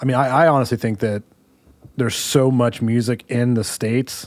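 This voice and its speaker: At a fairly quick pace, a man with a normal speaking voice speaks at medium pitch with fairly even intonation, in a very clean recording with a silent background. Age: 30s. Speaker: podcast host and musician. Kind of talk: casual chat. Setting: studio.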